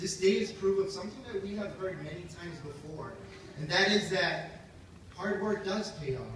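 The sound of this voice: At a moderate pace, a man with a high pitch and ordinary pitch variation speaks in a fairly bright tone, with audible room echo around him.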